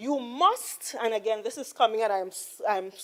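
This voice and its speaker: A woman with a Trinidadian accent, medium pitch and ordinary pitch variation. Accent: Trinidad and Tobago English. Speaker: politician. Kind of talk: parliamentary debate. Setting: legislative chamber. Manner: slow, deliberate; formal.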